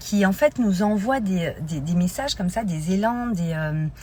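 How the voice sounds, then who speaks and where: Very slowly, a woman speaks in a somewhat breathy voice at medium pitch with very wide pitch swings. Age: 40s. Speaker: life coach. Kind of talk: live stream talk. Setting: Instagram live. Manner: hesitant, many fillers.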